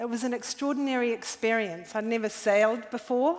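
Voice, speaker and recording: Her pitch fairly high, a woman speaks with a New Zealand accent. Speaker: environmental activist. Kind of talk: conference talk. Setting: stage with audience.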